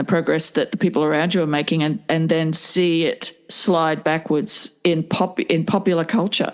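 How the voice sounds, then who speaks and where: Noticeable background noise sits behind a woman talking at a moderate pace with an Australian accent. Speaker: podcast host. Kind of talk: podcast intro and conversation.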